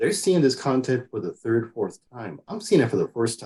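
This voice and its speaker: Very rapid delivery with a Spanish accent. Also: man. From Mexico. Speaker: engineer and STEM outreach coordinator. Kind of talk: interview.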